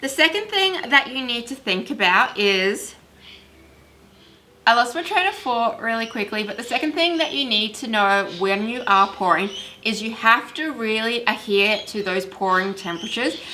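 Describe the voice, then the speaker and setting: Lively intonation from a woman with an Australian accent, fairly high in pitch, at a moderate pace. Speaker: candle making youtuber. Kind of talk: tutorial. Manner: casual.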